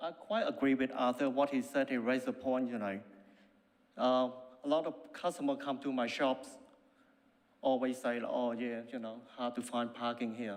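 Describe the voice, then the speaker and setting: Using a non-native accent, a man speaks at a moderate pace and medium pitch, with ordinary pitch variation and long, frequent pauses. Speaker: cafe owner speaking at council meeting. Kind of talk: public submission. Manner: halting.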